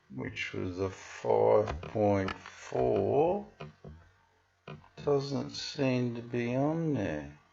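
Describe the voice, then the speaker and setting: At a very slow pace, with long, frequent pauses and very wide pitch swings, the voice is heard amid audible room echo. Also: man, fairly low pitch for a man. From Western Australia. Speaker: video blogger. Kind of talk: casual commentary on a screen. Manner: casual with fillers.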